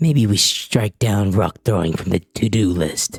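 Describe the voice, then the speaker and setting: A man's put-on character voice, fairly low in pitch, at a moderate pace, with a dry, close sound and no echo. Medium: game stream. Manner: casual, wry.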